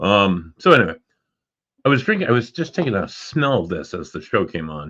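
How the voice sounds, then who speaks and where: Bright and sharp in tone, the voice moves at a moderate pace with very wide pitch swings over a quiet background. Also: man. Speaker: podcast host and paranormal investigator. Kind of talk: casual chat. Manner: loud.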